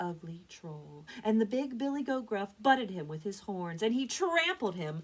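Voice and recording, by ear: The intonation rises and falls in a lively way. Someone reads aloud in a natural voice.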